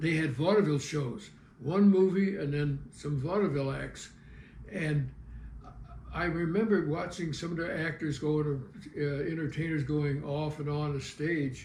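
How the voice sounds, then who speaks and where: Speaking at a fairly slow pace with an American accent, a man with a fairly high voice keeps his intonation fairly even while audible echo fills the room. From US Midwest, St. Louis (south side). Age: 80s+. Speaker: retired TV cameraman and local historian. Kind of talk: life-story interview. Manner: halting, with frequent fillers.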